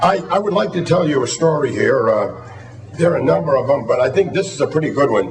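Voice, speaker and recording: A man with a Boston accent amid noticeable background noise and audible room echo. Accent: Boston-area New England. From Massachusetts. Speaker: retired football coach. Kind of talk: award acceptance speech. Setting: hall of fame ceremony before audience. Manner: halting, many fillers and repeated words.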